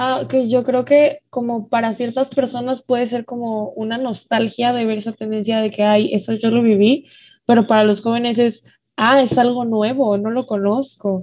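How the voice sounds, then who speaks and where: A woman speaks at a moderate pace in a fairly high voice. Her intonation is monotone and flat. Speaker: student moderator. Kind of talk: casual interview moderation.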